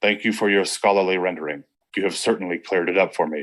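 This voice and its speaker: Putting on a character voice, a man rattles off lines at a very fast pace in a very deep, low pitch that sounds strained, with fairly even intonation. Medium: read story. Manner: tense, formal, restrained.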